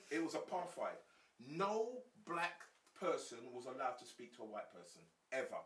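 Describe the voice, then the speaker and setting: The speaker has a London accent and leaves long, frequent pauses. Loudness swings widely throughout. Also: man, moderate pace. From South London, England. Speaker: former gang leader, gang activist. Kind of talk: podcast interview.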